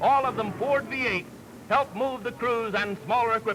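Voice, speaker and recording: A man speaks in an extremely high-pitched voice with lively intonation. His voice is raised and projected over noticeable background noise. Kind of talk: newsreel narration.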